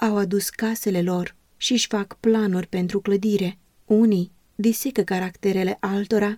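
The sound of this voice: An unforced reading voice moves along with fairly even intonation.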